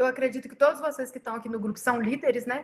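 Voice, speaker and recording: Her intonation is fairly even. The woman's pitch is high. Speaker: pastor. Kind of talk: leadership training talk. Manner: fast.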